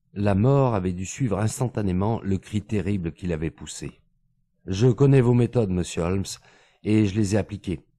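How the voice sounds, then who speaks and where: The recording is very clean, with a silent background. A man speaks in a fairly low pitch with a dark, mellow tone. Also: ordinary pitch variation, moderate pace. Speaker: audiobook narrator. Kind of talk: literary audiobook reading, scripted narration of a detective story.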